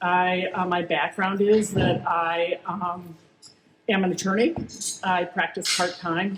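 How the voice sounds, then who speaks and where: A woman's voice at a medium pitch. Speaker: attorney and board candidate. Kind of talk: candidate speech at town hall. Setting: community town hall meeting. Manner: loud.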